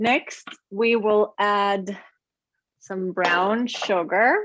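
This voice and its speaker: A woman speaks with a German accent. Her pitch is fairly high. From Germany. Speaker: cooking demonstrator. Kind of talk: online cooking class.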